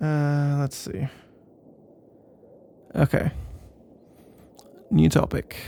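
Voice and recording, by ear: A man's put-on character voice, very slow, fairly high-pitched, with little pitch movement, vocal fry and a dark, mellow yet clear, smooth tone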